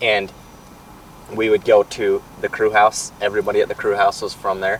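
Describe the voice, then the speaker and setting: Over noticeable background noise, a man with an American accent speaks at a moderate pace. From southern Utah, US. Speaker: construction business owner. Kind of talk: interview. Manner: halting, repeats words.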